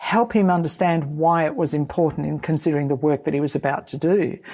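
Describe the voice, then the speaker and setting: An Australian accent is heard. It belongs to a woman. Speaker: safety consultant, podcast co-host. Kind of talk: casual conversation.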